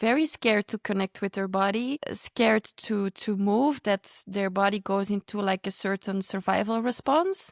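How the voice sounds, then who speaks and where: A woman speaks at a moderate pace with hardly any pauses, in a medium pitch with ordinary pitch variation. The recording is dry and close, with no echo. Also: very clean recording, silent background. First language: not English. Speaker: podcast host. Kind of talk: podcast conversation.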